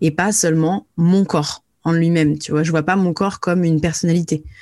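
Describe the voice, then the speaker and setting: An ordinary speaking voice at a moderate pace, fairly even in intonation, on a very clean recording with a silent background. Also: woman. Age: 30s. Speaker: influencer and emotional release coach. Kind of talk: interview.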